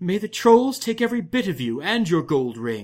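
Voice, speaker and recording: A man puts on a character voice. He uses a high pitch with very wide pitch swings. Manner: scornful, cursing.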